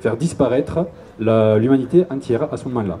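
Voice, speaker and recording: With a Toulouse accent, a man talks at a moderate pace with lively intonation. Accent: southern French (Toulouse), sing-song. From Toulouse, southern France. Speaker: YouTuber, cultural video maker. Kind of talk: public lecture. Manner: casual, humorous.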